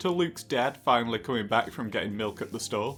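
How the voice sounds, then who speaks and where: Over music in the background, a man talks at a fairly quick pace and medium pitch with ordinary pitch variation. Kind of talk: comedic product review narration. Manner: dry, jokey.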